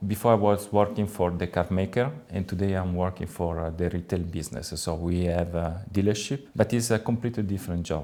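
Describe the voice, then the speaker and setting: In an Italian accent, a man with a very deep, low voice and a dark, mellow tone talks at a fairly quick pace with ordinary pitch variation and hardly any pauses. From Italy, Tuscany. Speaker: car dealership manager. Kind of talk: interview. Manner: hesitant with frequent fillers.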